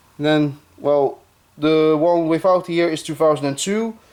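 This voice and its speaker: The speaker talks at a moderate pace with a Dutch accent. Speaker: YouTuber, F1 collector. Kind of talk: show-and-tell video. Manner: halting, many fillers.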